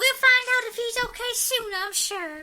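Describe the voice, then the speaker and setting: A woman's put-on character voice, squeaky and extremely high in pitch, at a moderate pace. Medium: audio drama. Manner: warm, calm.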